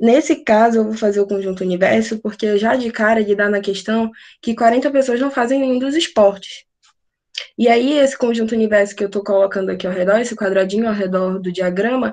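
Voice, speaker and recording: The woman has a normal speaking voice, fairly high in pitch with ordinary variation. She talks at a fairly quick pace against a quiet background. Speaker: math tutor. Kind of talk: online class.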